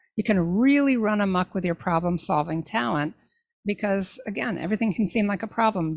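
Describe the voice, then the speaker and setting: With an ordinary speaking voice, a woman talks at a fairly quick pace in a medium pitch with lively intonation, on a very clean recording with a silent background. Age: 60s. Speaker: faith-based talent coach podcast host. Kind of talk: solo podcast monologue.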